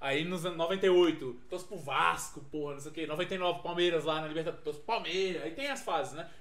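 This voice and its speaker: Fairly quick speech from a high-pitched man, with audible room echo and noticeable background noise. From Minas Gerais, Brazil (Frutal, near Uberaba). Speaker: podcast guest, friend of host. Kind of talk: casual chat.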